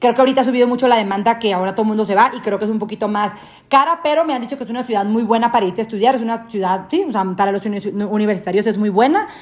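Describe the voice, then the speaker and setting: The speech comes at a very fast pace in an animated tone. Pitch varies in an ordinary way. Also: woman, fairly high pitch for a woman. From Mexico, Sinaloa (Guasave). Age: 20s. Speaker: podcast host. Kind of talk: casual chat.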